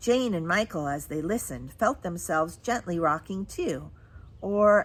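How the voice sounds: A natural reading voice carries the words. The intonation is lively.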